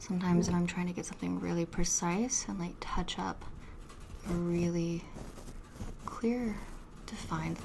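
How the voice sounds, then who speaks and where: Noticeable background noise runs under a woman's whisper. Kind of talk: ASMR soft-spoken talk to camera. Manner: soft-spoken.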